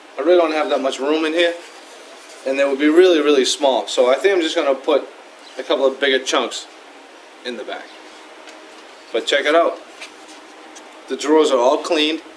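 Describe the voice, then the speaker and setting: In a Boston accent, a man with a fairly high voice talks at a fairly quick pace with fairly even intonation and long, frequent pauses over noticeable background noise. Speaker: woodworker. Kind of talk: tutorial. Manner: casual, conversational.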